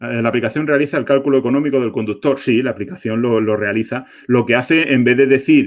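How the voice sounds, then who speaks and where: A man with medium pitch at a very fast pace. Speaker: product manager. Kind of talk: webinar Q&A presentation. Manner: animated.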